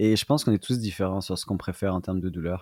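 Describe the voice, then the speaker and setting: This man's voice is very deep and low, delivered at a fairly quick pace with fairly even intonation. The recording is very clean, with a silent background and a dry, close sound that has no echo. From France, Lyon. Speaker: marathon runner and running coach. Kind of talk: interview conversation.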